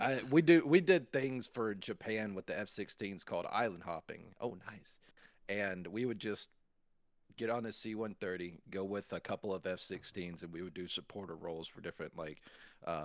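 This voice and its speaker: This man has a strong Alabama accent and a fairly low pitch, speaking at a moderate pace. His intonation is lively, and his loudness swings widely. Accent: thick Alabama Southern. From US South, Montgomery, Alabama. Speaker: Air Force veteran. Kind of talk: casual chat.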